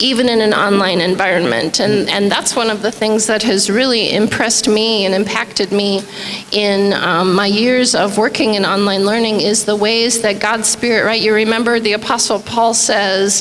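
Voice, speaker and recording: Amid noticeable background noise and audible room echo, a woman talks at a moderate pace with hardly any pauses. Her fairly high voice is monotone and flat, with very even loudness. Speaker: university faculty member. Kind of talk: interview.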